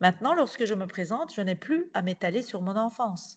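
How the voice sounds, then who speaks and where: The speech comes at a moderate pace over a quiet background. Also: woman. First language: Turkish (speaking French). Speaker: novelist and playwright. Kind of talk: reading aloud.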